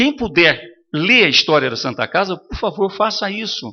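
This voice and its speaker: His pitch is high and swings very widely. The man keeps a moderate pace. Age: 70s. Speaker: hospital charity director. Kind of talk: council meeting address.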